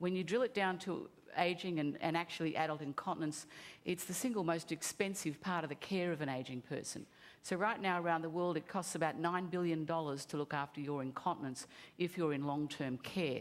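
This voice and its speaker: With an Australian accent, a woman speaks at a fairly quick pace, her fairly low pitch showing ordinary pitch variation. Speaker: company CEO. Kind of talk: conference pitch.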